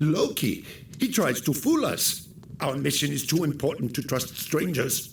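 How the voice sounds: A man puts on a character voice with vocal fry and a fairly high pitch. He talks at a fairly slow pace with big pitch swings.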